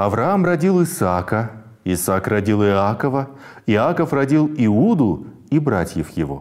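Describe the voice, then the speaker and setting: Speaking at a very slow pace, a man uses a medium pitch that swings very widely. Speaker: bible reading presenter. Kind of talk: scripted narration.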